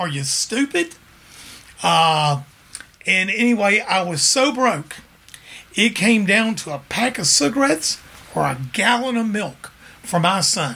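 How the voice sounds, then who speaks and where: A man with a Memphis accent talks in a raised, projected voice, high for a man, with very wide pitch swings and an animated tone. His pace is fairly slow, broken by long, frequent pauses. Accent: Southern US, Memphis. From Memphis, Tennessee. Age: 60s. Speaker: music store owner and musician. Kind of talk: casual interview storytelling. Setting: studio. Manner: charismatic, animated storyteller.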